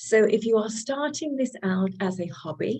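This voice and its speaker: A woman with a British accent, fairly slow pace and dark, mellow tone. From United Kingdom. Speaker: real estate lender. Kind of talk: presentation. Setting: video call.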